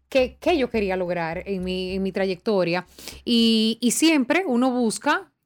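The recording is very clean, with a silent background. A woman talks with very wide pitch swings. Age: 30s. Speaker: TV presenter. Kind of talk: casual chat.

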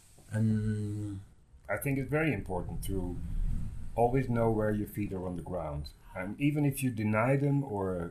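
A man with a Dutch accent speaks at a moderate pace in a fairly low, somewhat breathy voice. His intonation is lively. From Netherlands. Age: 60s. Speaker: guest, historian. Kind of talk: casual interview chat.

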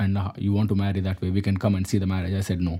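Breathiness comes through somewhat. The tone is mellow and dark. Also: man. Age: 20s. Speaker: interview guest, husband in interfaith couple. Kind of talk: interview.

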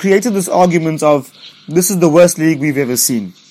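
A man talks at a fairly quick pace with lively intonation. Background noise is noticeable. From South Africa. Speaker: football podcast host. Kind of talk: casual chat.

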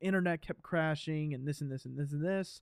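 The background is quiet. A man speaks at a fairly high pitch with ordinary pitch variation. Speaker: movie podcast co-host. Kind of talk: casual chat. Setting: remote call. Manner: mumbling.

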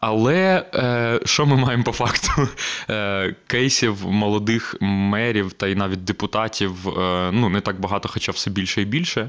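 Noticeable background noise sits behind a man speaking at a fairly slow pace. His pitch is fairly low, with ordinary variation. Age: 20s. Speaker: podcast host and media co-founder. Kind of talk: casual chat. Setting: studio.

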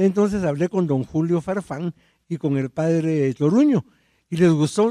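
Delivered at a fairly slow pace, the voice has a dark, mellow tone in a dry, close sound with no echo. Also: man. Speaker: historian. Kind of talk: casual chat.

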